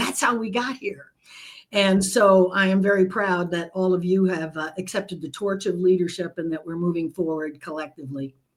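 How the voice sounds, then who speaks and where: Speaking at a moderate pace, a woman with medium pitch and ordinary pitch variation has an unremarkable speaking voice. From United States, immigrant from Nicaragua as small child. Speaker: leadership expert and author. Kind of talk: interview conversation.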